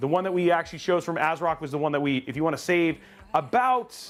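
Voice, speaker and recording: This man talks at a fairly quick pace in a high pitch. Music plays in the background. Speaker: tech livestream host. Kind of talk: live PC build stream. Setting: live stream with co-hosts. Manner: fast; casual, many fillers.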